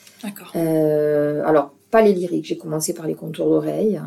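This is a woman speaking. Her pace is moderate. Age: 60s. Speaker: retired dance teacher, hearing aid ambassador. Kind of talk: interview conversation. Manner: hesitant, with repetitions.

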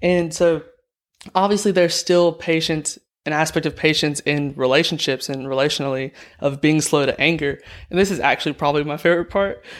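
A man with a Southern US accent speaks at a fairly quick pace and a fairly high pitch. His intonation is fairly even, and the recording is very clean with a silent background. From Alabama. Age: young. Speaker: nursing student. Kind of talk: casual interview.

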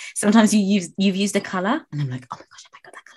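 A woman's medium-pitched voice with very wide swings in pitch. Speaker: podcast host and nail tech. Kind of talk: interview, casual chat. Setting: online call recording.

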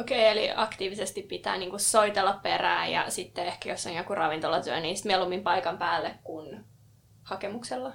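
Her voice is an unremarkable speaking voice, a woman at medium pitch talking at a fairly quick pace with ordinary pitch variation. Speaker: podcast co-host. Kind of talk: casual chat. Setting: studio.

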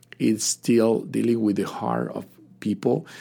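A man speaks at a fairly slow pace with a Spanish accent. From Cuba. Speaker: pastor. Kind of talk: testimony. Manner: halting.

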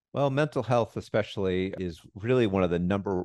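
A man with a very deep, low pitch speaks fairly quickly with lively intonation, the sound dry and close with no echo over a quiet background. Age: 40s. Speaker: public health doctor and podcast host. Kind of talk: interview.

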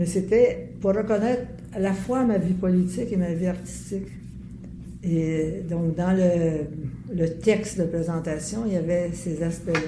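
In a Quebec accent, a woman talks at a fairly slow pace with fairly low pitch. Her intonation stays fairly even over noticeable background noise. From Quebec, Montreal (Verdun). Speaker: artist and former city councillor. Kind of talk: interview. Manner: halting.

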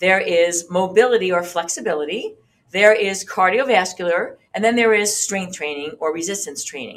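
A normal speaking voice from a woman, moderate in pace, with lively intonation. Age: 50s. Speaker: fitness instructor and podcast host. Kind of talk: tutorial. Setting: video recording with demonstration. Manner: casual, with many fillers.

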